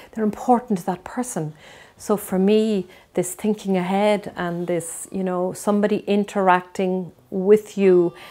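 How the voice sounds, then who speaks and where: A dark, mellow tone carries this voice. The intonation stays fairly even at a fairly slow pace. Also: woman. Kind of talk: interview answer. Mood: earnest, reflective. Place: home room. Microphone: lapel.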